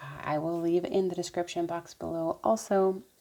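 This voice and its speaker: Her voice, a woman's at a fairly low pitch, carries a dark, mellow tone. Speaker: nail care YouTuber. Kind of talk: tutorial. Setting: at home. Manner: quiet, keeping voice down.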